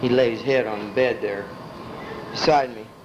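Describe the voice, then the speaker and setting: With an American accent, a man speaks at a fairly quick pace and medium pitch. His intonation is fairly even, and noticeable background noise is present. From Illinois, US Midwest. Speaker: family elder telling his life story. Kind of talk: life story reminiscence. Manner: casual, conversational.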